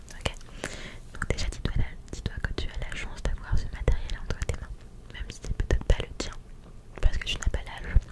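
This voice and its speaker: A woman whispering at a moderate pace, with long, frequent pauses, big swings in loudness, and noticeable background noise. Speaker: ASMR creator. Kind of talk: ASMR positive affirmations. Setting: home studio. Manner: whispered.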